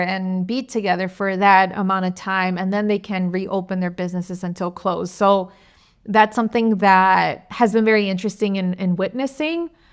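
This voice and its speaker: In a very clean recording with a silent background, a woman with an American accent talks with fairly even intonation. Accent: American English with Spanish code-switching. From United States, second-generation Mexican American. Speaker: podcast host. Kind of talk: casual conversational podcast.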